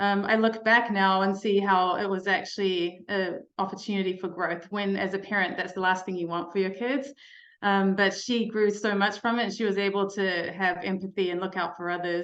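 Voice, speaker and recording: A woman with a New Zealand accent speaks in a flat monotone, barely pausing at all. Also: medium pitch for a woman, moderate pace. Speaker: mental health speaker, life coach. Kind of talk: keynote talk to parents.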